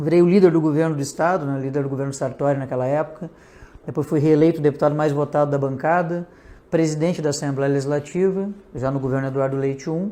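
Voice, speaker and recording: A very fast pace, a dark, mellow tone and fairly even intonation. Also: man, fairly high pitch for a man. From Rio Grande do Sul, Brazil (north coast). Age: 40s. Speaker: politician. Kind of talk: interview.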